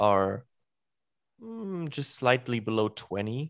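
A man speaks with a German accent at a medium pitch. The recording is very clean with a silent background. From Germany. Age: 20s. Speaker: podcast host. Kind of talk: casual chat. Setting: live stream.

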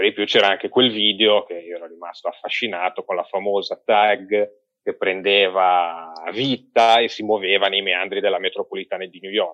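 The voice moves at a moderate pace, with big swings in loudness. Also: man. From Genoa, Italy. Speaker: record collector. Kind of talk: casual chat.

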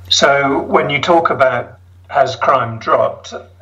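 A man speaks very slowly, with noticeable background noise present. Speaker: South African resident. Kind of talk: interview.

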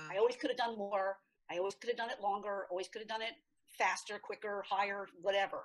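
At a very fast pace, a woman with a medium pitch speaks with fairly even intonation. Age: 60s. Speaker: author. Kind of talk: interview. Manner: halting.

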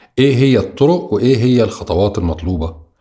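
A man's voice, dark and mellow in tone and somewhat breathy, rises and falls with lively intonation. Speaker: podcast interviewer. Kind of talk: interview.

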